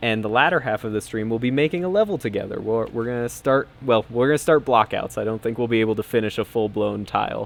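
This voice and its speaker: Talking at a very fast pace with hardly any pauses, a man keeps a medium pitch and ordinary pitch variation. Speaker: game developer, stream host. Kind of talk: casual live stream chat. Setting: live stream with team on Discord. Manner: loud.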